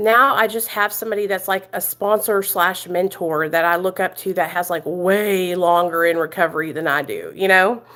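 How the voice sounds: Loud and with few pauses, a woman with an American country accent speaks at a moderate pace with a fairly bright tone, fairly even intonation and a fairly low pitch. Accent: American country twang.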